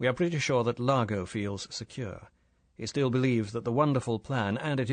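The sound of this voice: Pitch variation of a normal kind in an unforced reading voice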